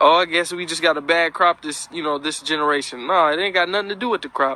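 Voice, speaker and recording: A man with an unremarkable speaking voice talks fairly quickly and fairly high in pitch. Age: young. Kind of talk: casual spoken commentary.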